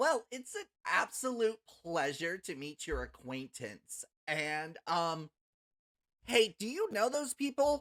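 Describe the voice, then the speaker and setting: On a very clean recording with a silent background, a raspy, put-on character voice at a middle pitch speaks at a fairly slow pace with very wide pitch swings. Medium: actual play. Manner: chatty, hesitant, cheerful.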